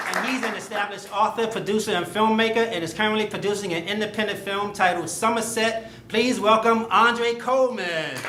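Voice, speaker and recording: Raised and projected, the voice moves at a fairly quick pace with hardly any pauses, fairly even intonation and an American accent, over noticeable background noise and audible room echo. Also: man, high pitch for a man. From Chicago. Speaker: comedy show host. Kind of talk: stand-up.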